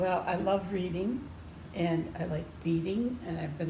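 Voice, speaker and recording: A woman with an American accent talks at a very slow pace. Audible room echo surrounds her voice. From northern US. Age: 70s. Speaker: patient. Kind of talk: interview.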